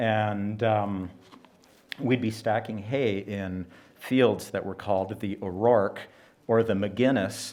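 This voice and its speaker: A man with a Western Canadian accent speaks at a very slow pace in a fairly low pitch, his intonation fairly even and broken by long, frequent pauses. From Canada, British Columbia interior (Nicola Valley ranch). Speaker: event speaker, rancher's son. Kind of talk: public speech at exhibition opening. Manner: halting, many fillers.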